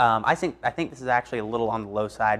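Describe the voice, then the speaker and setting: A man with an American accent at a very fast pace. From US South. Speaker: broadcast meteorologist. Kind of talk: TV weather forecast. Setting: studio.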